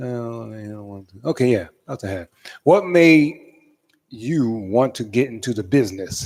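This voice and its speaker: A strong New York accent at a moderate pace, with big swings in loudness. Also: man, medium pitch for a man. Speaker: radio host. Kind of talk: radio interview. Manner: halting, many fillers.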